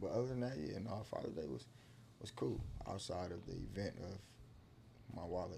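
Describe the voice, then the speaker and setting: A man speaks at a moderate pace with fairly low pitch, vocal fry and very wide pitch swings, and audible room echo surrounds him. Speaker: podcast guest. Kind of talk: casual chat. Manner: halting.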